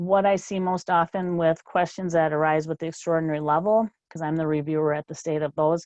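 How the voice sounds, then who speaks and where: Against a quiet background, a woman speaks with a very deep, low pitch and fairly even intonation. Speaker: state policy specialist presenting a training webinar. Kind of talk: webinar presentation. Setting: webinar. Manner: fast.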